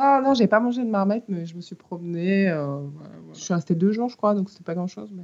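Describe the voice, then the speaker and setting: A woman's medium-pitched voice at a fairly quick pace, with lively intonation, big swings in loudness and hardly any pauses. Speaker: musician and songwriter. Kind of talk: interview.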